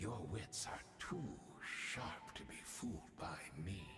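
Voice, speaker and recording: Using a put-on character voice, a man talks at a fairly low pitch and a fairly slow pace over clear background noise. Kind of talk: video game voice acting. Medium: video game. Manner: courteous, measured, quietly manipulative.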